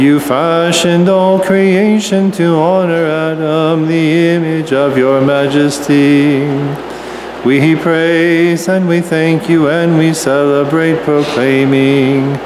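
Over music in the background, a man speaks at a very slow pace, with very even loudness and fairly even intonation. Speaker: priest leading a liturgy. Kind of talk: liturgical prayer. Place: church. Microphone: podium.

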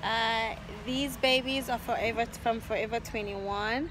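A woman speaks in a dry sound with no echo. Light background noise can be heard. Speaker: vlogger. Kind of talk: casual vlog chat. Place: street. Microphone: phone near.

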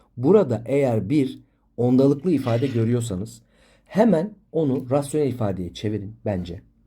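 A man's medium-pitched, somewhat breathy voice with a dark, mellow tone, lively intonation and a moderate pace, on a very clean recording with a silent background. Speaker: math teacher. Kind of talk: tutorial. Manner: explanatory, engaging students with questions.

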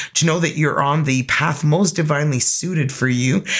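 A woman speaks at a moderate pace in an extremely low pitch, with ordinary pitch variation.

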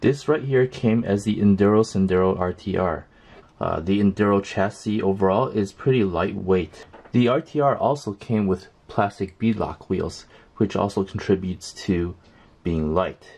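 This is a man with a normal speaking voice. His fairly low pitch shows ordinary variation. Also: fairly slow pace. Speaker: RC hobby channel host. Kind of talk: tutorial. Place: workshop.

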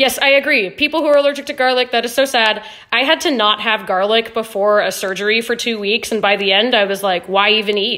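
A woman speaks at a fairly quick pace in a fairly high pitch. Her pitch varies in an ordinary way against a quiet background. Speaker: livestream host. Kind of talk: casual cooking livestream chat. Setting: live video stream. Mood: relaxed, friendly, chatty. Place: kitchen. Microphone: phone near.

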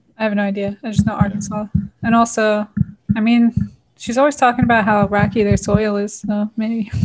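A woman with an American accent speaks fairly quickly in a somewhat breathy, fairly high voice with monotone, flat intonation. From New Jersey. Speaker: home cook and cooking channel host, former flight attendant. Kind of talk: casual interview. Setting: video call from home kitchen.

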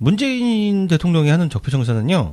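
The voice is animated and somewhat breathy, its pitch swinging very widely. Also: man. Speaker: podcast host. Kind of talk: political talk show discussion.

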